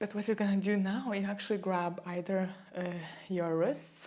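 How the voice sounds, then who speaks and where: A woman's voice with a non-native accent, medium in pitch, dark and mellow in tone, with fairly even intonation. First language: not English. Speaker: yoga instructor. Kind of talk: guided yoga class. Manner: calm, gentle; halting.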